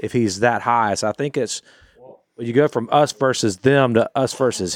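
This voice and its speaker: A plain, everyday voice at a moderate pace, in a very clean recording with a silent background and a dry, close sound with no echo. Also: man. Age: 40s. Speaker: podcast contributor. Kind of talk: casual chat.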